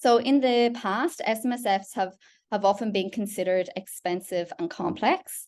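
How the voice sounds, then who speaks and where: A woman talks with an Irish accent. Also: quiet background. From Ireland. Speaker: product specialist presenting a webinar. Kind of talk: webinar presentation. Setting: online webinar call. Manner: frequent fillers (um).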